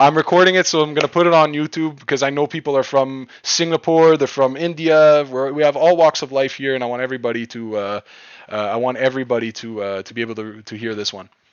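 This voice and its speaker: Rushing at a very fast pace, a man with a fairly high voice shows ordinary pitch variation and big swings in loudness. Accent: Quebec. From Quebec. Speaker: crypto trading streamer. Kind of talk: live stream chat. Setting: live stream. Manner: casual, repetitive with frequent restarts.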